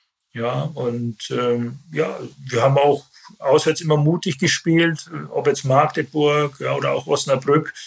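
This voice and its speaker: A man talks at a very slow pace, his voice somewhat breathy. His intonation stays fairly even. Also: fairly high pitch for a man. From Bavaria, Germany (Landshut). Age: 50s. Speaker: football club sporting director, former pro player. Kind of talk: interview. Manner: hesitant, many filler sounds.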